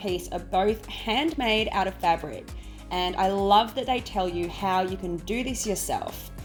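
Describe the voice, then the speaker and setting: A woman with an Australian accent at a moderate pace, music playing in the background. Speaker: home organisation YouTuber. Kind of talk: casual shop-with-me vlog narration.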